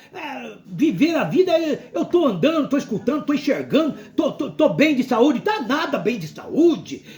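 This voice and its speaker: Noticeable background noise behind a man's moderately paced speech with lively intonation. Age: 60s. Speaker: pastor. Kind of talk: sermon. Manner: animated.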